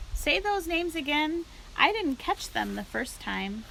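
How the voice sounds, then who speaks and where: A woman's put-on character voice, squeaky and high-pitched, at a moderate pace over clear background noise. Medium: read story. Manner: eager, innocent.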